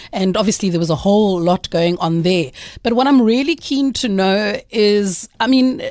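The speaker has an enthusiastic tone and lively intonation. The pace is moderate. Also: woman. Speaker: radio host. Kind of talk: radio interview. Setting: radio studio.

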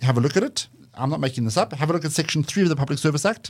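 A man with a fairly high pitch and ordinary pitch variation talks at a very fast pace in a somewhat breathy voice, on a very clean recording with a silent background. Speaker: think tank director. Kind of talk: interview. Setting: studio. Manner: passionate.

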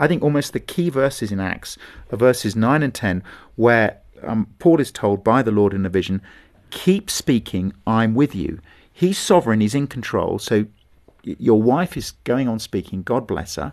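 A man with a southern English accent talks at a moderate pace and medium pitch. His intonation is lively, and the background is quiet. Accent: English (southern, RP-like). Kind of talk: interview.

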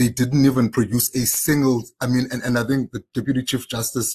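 A man's somewhat breathy voice comes through dry and close, with no echo. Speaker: senior journalist. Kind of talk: panel discussion. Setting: video call.

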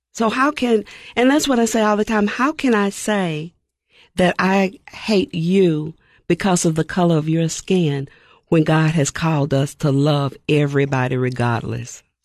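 Fairly low-pitched woman's voice in a Tennessee accent, fairly slow, with very wide pitch swings, very even loudness and a quiet background. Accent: Southern US (Tennessee). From US South, Nashville, Tennessee. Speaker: pastor. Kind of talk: interview.

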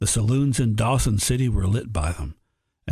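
Intonation stays lively while reading aloud in a natural voice. Around it, the background is quiet.

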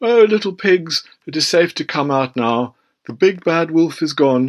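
This man uses a put-on character voice, pitched fairly high and delivered at a moderate pace. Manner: coaxing, deceitful.

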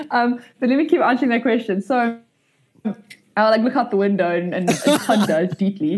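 With lively intonation, a woman speaks in a fairly high, somewhat breathy voice. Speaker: startup founder and CEO. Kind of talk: casual interview conversation. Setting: video call. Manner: fast talker; animated, chatty.

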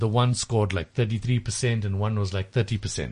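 A man at medium pitch sounds somewhat breathy against a quiet background. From South Africa, Durban (KZN). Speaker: tutoring company founder. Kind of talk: radio interview. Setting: studio. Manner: hesitant, many fillers.

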